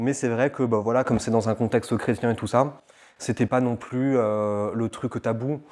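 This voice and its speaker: A man's fairly low voice holds fairly even intonation on a very clean recording against a silent background. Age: 20s. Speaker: interviewee sharing faith testimony. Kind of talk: testimony interview. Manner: halting, many fillers.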